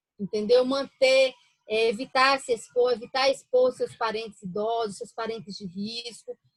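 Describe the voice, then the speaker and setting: A woman with a fairly high pitch and a northeastern Brazilian accent, at a moderate pace, in a dry, close sound with no echo. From Brazilian Northeast, interior of Paraíba. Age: 40s. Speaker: physician. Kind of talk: interview.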